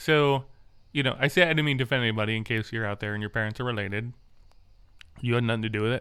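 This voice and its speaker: A medium-pitched man talks at a very fast pace with ordinary pitch variation and long, frequent pauses. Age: 30s. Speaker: podcast host with vision loss. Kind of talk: casual chat. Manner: animated.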